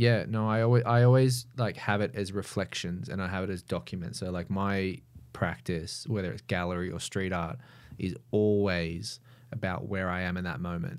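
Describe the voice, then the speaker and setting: A man with a very deep, low pitch and an Australian accent speaks at a moderate pace with ordinary pitch variation, in a very clean recording with a silent background. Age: 30s. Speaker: mural artist. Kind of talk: casual chat.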